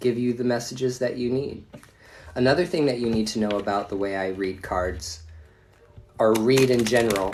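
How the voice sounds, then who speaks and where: In a room with audible echo, a man speaks at medium pitch and a moderate pace, with ordinary pitch variation and long, frequent pauses. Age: 40s. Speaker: tarot reader. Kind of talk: live stream reading. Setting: at home. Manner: casual, profane.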